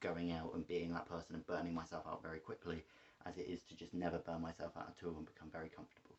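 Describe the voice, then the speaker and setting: A man's very deep, low voice with an English accent. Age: 20s. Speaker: vlogger. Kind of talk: personal vlog monologue. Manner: fast; halting, many fillers.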